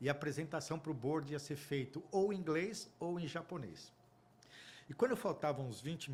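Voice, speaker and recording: Fairly high-pitched, somewhat breathy male voice at a moderate pace. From Brazil. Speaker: audit firm partner. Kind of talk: interview storytelling. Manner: emotional.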